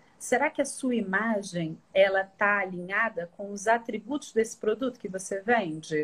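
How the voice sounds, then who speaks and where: With hardly any pauses, a woman talks in a plain, everyday voice at a medium pitch, at a moderate pace with ordinary pitch variation. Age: 40s. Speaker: image consultant. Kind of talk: live-stream interview.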